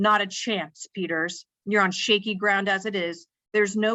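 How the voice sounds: This is a natural reading voice with fairly even intonation over a quiet background.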